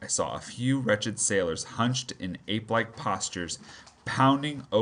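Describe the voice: Someone is reading aloud plainly.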